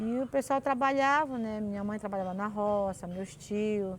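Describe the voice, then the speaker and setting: Her voice is an ordinary speaking voice, as a woman with a fairly high pitch talks at a moderate pace with ordinary pitch variation. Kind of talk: interview answer, folk tale telling.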